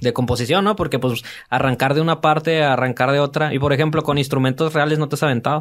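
A man with a Mexican accent at a very fast pace and fairly high pitch, his loudness very even against a quiet background. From Mexico. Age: 30s. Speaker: podcast host. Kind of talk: casual interview. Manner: animated. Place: studio. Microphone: studio mic.

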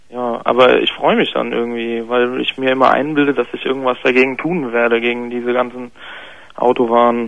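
The delivery is fairly quick and monotone, with flat intonation and a dry sound with no echo. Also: man. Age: 20s. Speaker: caller, bicycle courier. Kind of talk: confessional story by phone. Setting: phone call. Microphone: phone line.

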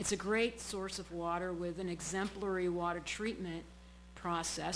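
In a room with audible echo, a woman with an American accent and a fairly low pitch speaks with fairly even intonation. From Massachusetts, Brockton (South Shore). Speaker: public commenter at city council. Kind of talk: public comment at council meeting. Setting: city council chamber.

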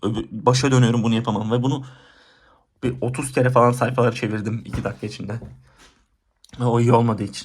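A man rattles along at a very fast pace with a medium pitch and flat, monotone intonation. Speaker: student vlogger. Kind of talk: casual vlog monologue.

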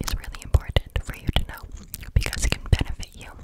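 Whispering, the speaker is soft-spoken. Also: woman. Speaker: ASMR creator. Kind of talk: soft-spoken ASMR chat. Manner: close-mic soft whisper. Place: home room. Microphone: studio mic.

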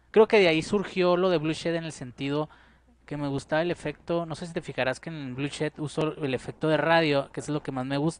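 A man's fairly high voice at a fairly quick pace, with fairly even intonation and a dry sound with no echo. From Mexico, Parral, Chihuahua; Chihuahua, Mexico. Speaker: painter and musician; interviewee. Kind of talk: casual interview. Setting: at his home. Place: home room. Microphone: handheld.

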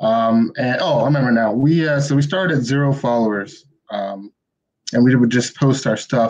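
Against a quiet background, a man speaks at a medium pitch and moderate pace with ordinary pitch variation. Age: 20s. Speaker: comic book writer. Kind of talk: casual interview. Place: home room. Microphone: video call.

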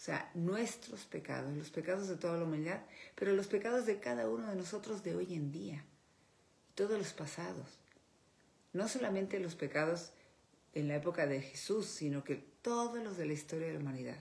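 A woman talks at a moderate pace with long, frequent pauses. Her fairly low voice is somewhat breathy, with lively intonation. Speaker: speaker. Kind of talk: religious reflection talk. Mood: earnest, devotional. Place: home room. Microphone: phone near.

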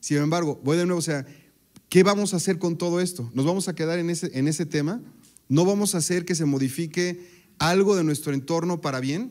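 A high-pitched man speaks at a fairly quick pace with ordinary pitch variation. The background is quiet. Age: 40s. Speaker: technologist; speaker. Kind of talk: talk to an audience. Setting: stage with audience. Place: stage. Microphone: handheld.

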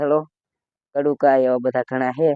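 A man talks at a medium pitch with monotone, flat intonation. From Gujarat, Botad district village. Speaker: vlogger. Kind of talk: casual Q&A vlog.

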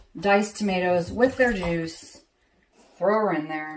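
There is noticeable background noise. A woman is speaking. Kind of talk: casual cooking tutorial. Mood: relaxed, folksy. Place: kitchen. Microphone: phone near.

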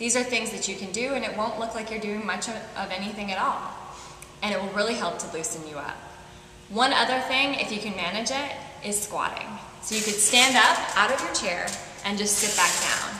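Amid light background noise and audible room echo, a woman talks at a fairly quick pace with ordinary pitch variation. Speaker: fitness instructor. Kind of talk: tutorial. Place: home room.

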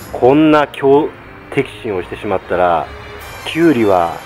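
A man talks at a fairly slow pace while faint music plays in the background. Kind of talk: casual vlog chat, tutorial. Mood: humorous, animated storytelling. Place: farm machine. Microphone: phone near.

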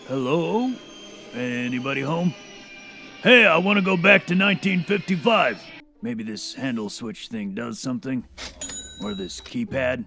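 Faint music plays behind a man doing a put-on character voice. He sounds gruff and talks at a fairly slow pace. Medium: audio drama. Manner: gruff, insulting, blustering.

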